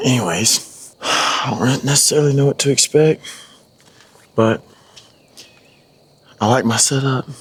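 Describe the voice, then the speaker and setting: Here a man is speaking. His pace is moderate. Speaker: hunting vlogger. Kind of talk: hunting vlog narration. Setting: outdoors.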